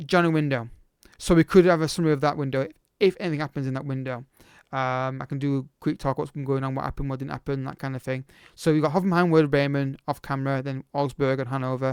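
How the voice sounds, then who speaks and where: Delivery is very fast, with fairly even intonation. The sound is dry and close with no echo, in a very clean recording with a silent background. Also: man, fairly high pitch for a man. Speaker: football video game streamer. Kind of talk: casual chat to camera.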